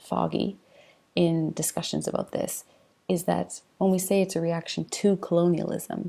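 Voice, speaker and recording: A soft-spoken woman talks at a moderate pace. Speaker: university lecturer. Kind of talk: informal lecture. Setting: home, late at night, self-recorded video. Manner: hesitant, with fillers.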